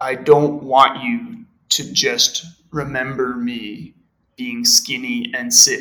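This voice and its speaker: Speaking very slowly with an American accent, a man uses a medium pitch with ordinary variation and a bright, sharp tone. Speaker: podcast guest, native English reader. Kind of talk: reading aloud.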